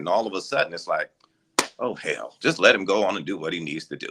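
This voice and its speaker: The recording sounds dry and close, with no echo. A man speaks fairly quickly. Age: 60s. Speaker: radio news anchor. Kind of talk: interview. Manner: casual, animated.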